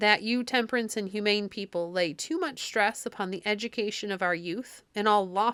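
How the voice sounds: Here is a natural reading voice. It reads aloud.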